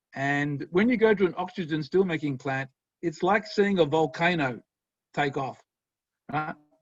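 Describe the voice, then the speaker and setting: With lively intonation and a fairly high pitch, this man keeps a moderate pace. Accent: Australian. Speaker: professor. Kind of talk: lecture. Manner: animated.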